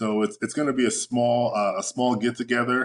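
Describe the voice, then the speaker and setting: Speaking at a moderate pace, a man with a normal speaking voice and medium pitch is heard in a dry, close sound with no echo. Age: 40s. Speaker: fitness coach. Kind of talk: casual interview.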